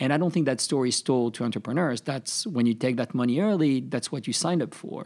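With a French accent, a man speaks fairly quickly in a fairly high voice and lively intonation, on a very clean recording with a silent background. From France, Paris. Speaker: tech startup CEO. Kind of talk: interview.

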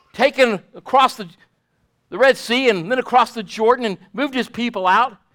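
This man's raised, projected voice sits at an extremely high pitch and moves at a moderate pace. His tone is both warm and bright and sharp, with ordinary pitch variation. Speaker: pastor. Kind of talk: sermon. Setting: church. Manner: fervent, declarative preacher cadence with emphatic repetition; warm, pastoral, addressing congregation directly.

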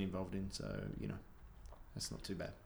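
A man with an Australian accent speaks in a fairly low voice. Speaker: podcast host. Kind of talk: casual pub podcast chat. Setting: bar.

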